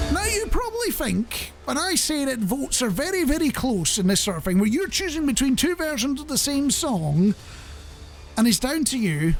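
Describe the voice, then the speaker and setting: With music in the background, the speaker moves at a moderate pace through very wide pitch swings. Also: man, extremely high pitch for a man. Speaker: radio show host. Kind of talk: radio presenter chat. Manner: chatty, humorous, self-deprecating.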